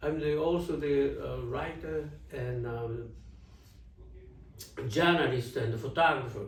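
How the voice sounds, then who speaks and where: Speaking at a very slow pace with long, frequent pauses, a man with a fairly high voice is heard amid noticeable background noise and audible room echo. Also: ordinary pitch variation. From Japan, Osaka. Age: 70s. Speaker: jazz journalist and photographer. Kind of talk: interview. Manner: halting; animated.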